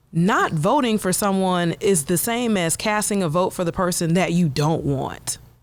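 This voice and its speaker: A woman with a plain, everyday voice speaks at a moderate pace and medium pitch, with ordinary pitch variation, very even loudness and hardly any pauses. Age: young. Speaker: voting activist, former dancer. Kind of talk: casual chat.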